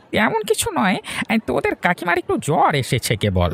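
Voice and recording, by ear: The cartoonish character voice moves along at a moderate pace.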